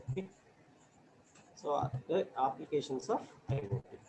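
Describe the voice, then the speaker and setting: Dark and mellow in tone, a man's voice comes across as somewhat breathy. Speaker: professor. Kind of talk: lecture. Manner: halting, many fillers. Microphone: too quiet at first.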